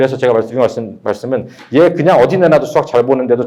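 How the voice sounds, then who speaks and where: Speaking at a very fast pace, a man with a medium pitch makes very wide pitch swings. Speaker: math academy director. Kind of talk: admissions seminar talk.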